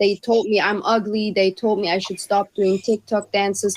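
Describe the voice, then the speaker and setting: Someone speaks at a moderate pace in a German accent, recorded with a dry, close sound and no echo. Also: woman. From Germany. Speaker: podcast panelist. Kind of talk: casual discussion.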